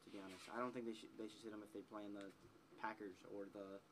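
A man with an American accent talks at a very fast pace. His pitch is fairly low and his tone bright and sharp. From Wisconsin. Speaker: sports podcast co-host. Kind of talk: casual chat.

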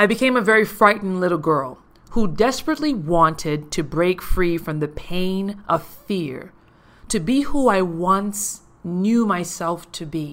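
Talking at a very slow pace, a woman with an American accent and a fairly low pitch uses lively intonation in a very clean recording with a silent background. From US Virgin Islands, Saint Thomas. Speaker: podcast host and life coach. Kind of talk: personal storytelling monologue.

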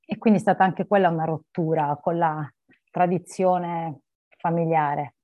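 A woman with a fairly low pitch speaks at a moderate pace. Her intonation is fairly even, broken by long, frequent pauses. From Apulia, southern Italy (Barletta). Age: 40s. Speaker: lawyer and coach. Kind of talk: interview conversation.

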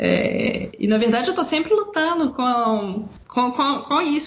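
A woman talks with lively intonation while noticeable background noise and audible room echo fill the recording. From Brazil, Belo Horizonte (Minas Gerais). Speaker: writer and freelance proofreader, former university lecturer. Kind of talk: casual conversation. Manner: halting, with repetitions and fillers.

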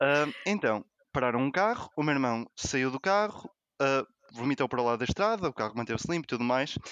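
This man has an ordinary speaking voice with a medium pitch and lively intonation. He talks at a fairly quick pace, and the sound is dry and close with no echo. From Porto, northern Portugal. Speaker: mathematician. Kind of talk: casual chat.

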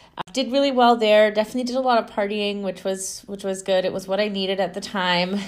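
This woman has an unremarkable speaking voice at a medium pitch, with fairly even intonation. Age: 20s. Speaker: spiritual podcast host. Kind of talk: solo monologue.

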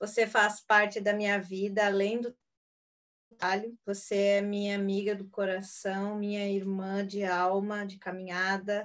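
A woman's medium-pitched voice, fairly slow, with monotone, flat intonation. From Rio Grande do Sul, Brazil. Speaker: homeopath, podcast host. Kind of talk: casual chat. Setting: video call.

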